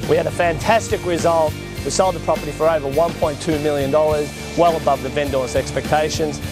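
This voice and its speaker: Over clear music in the background, a man with an Australian accent talks at a very fast pace in a fairly high pitch, the sound dry with no echo. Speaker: real estate auctioneer. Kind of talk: interview answer. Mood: upbeat, pleased. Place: street. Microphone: lapel.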